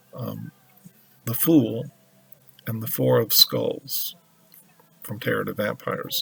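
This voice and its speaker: Over music in the background, a man speaks at a very slow pace with long, frequent pauses and big swings in loudness. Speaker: tarot reader. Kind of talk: tarot reading monologue. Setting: at home altar with music playing. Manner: slow with pauses; hesitant with fillers.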